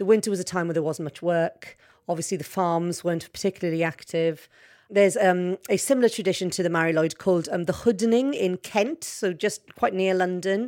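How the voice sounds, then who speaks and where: A woman with a Welsh accent on a very clean recording with a silent background. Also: medium pitch for a woman, ordinary pitch variation, fairly quick pace. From Wales. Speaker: journalist. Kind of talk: interview.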